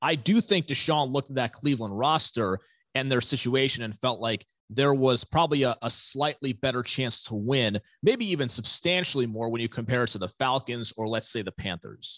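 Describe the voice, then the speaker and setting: An unremarkable speaking voice with lively intonation moves at a moderate pace, the sound dry and close with no echo against a quiet background. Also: man. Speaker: football analyst. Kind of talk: sports analysis interview.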